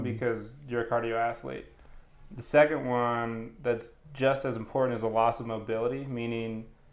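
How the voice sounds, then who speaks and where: At medium pitch and with fairly even intonation, a man talks in a plain, everyday voice. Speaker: fitness coach. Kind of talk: casual interview talk.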